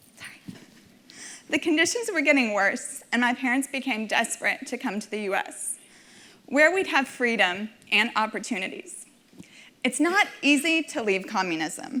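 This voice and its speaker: A woman with a high voice speaks at a moderate pace with very wide pitch swings and long, frequent pauses over noticeable background noise. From Nashville, Tennessee (from age five; born in Minsk, Belarus). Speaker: community volunteer donor. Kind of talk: personal testimony speech. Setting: stage with audience.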